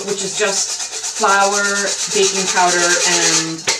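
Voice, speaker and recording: A woman with noticeable background noise. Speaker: home cooking show host. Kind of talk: tutorial. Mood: warm, relaxed. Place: kitchen.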